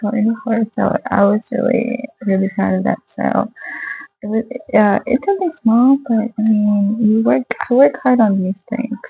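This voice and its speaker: Over music in the background, a soft-spoken woman is heard with a dry, close sound and no echo. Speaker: small craft seller, video blogger. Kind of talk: casual vlog. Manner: hesitant, many fillers. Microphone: poor audio.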